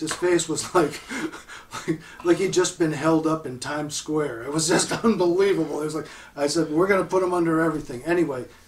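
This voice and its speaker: A man talks with a fairly high pitch and fairly even intonation, while his loudness swings widely. Noticeable background noise sits behind him. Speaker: audio equipment manufacturer. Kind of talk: casual interview chat.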